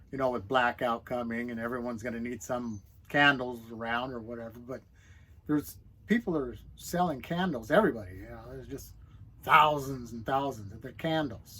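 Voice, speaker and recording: A man with a medium-pitched voice and a bright, sharp tone speaks at a moderate pace with big swings in loudness, in a very clean recording with a silent background. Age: 60s. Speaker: semi-retired small business owner, online creator. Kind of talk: casual monologue to camera. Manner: halting, self-correcting.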